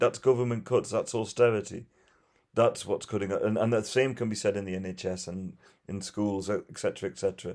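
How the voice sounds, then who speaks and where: A man with a Geordie accent, fairly low in pitch and fairly even in intonation, with big swings in loudness at a fairly quick pace, on a very clean recording with a silent background. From northeast England. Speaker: firefighter and refugee rescuer. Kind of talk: interview.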